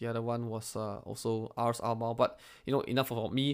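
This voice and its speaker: On a very clean recording with a silent background, a man talks in an ordinary speaking voice. He uses a medium pitch, a fairly quick pace and fairly even intonation. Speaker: podcast co-host. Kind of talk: casual chat.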